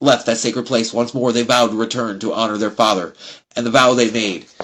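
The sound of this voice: This is an unforced reading voice. The text is read aloud in it.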